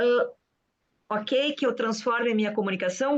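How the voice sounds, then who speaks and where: A woman speaking at a moderate pace. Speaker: group organizer. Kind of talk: online group discussion. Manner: animated.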